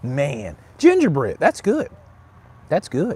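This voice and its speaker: In a Mississippi accent, the speaker uses a relaxed tone with very wide pitch swings. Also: man. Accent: US Southern (Mississippi). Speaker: cigar reviewer, livestream host. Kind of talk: casual livestream chat. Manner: relaxed, chatty.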